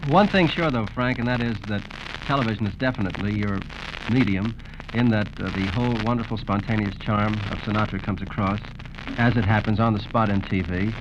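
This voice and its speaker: A man's fairly low voice moves at a fairly quick pace while noticeable background noise plays. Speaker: radio host and interviewer. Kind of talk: radio interview host. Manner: upbeat, jive-talking.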